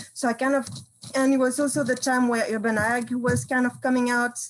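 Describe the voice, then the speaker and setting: The speaker talks at a very fast pace. The accent is French. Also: woman. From France, Brittany countryside. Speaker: campus farm coordinator. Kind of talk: panel discussion.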